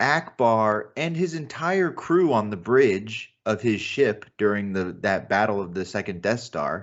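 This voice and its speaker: A man with an American accent talks at a fairly slow pace with hardly any pauses. His medium-pitched voice has lively intonation. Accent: normal American. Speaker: podcast co-host. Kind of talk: casual chat.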